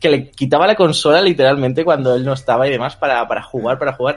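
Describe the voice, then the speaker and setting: With a Madrid accent, the speaker goes at a fairly quick pace with ordinary pitch variation. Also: man. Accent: Castilian Spanish (Madrid). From Spain, Madrid outskirts. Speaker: YouTuber. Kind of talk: interview.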